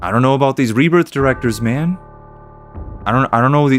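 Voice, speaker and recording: A man's animated voice at medium pitch, ordinary pitch variation, a very fast pace, and music in the background. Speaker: gaming streamer. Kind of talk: let's play commentary. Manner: casual, animated.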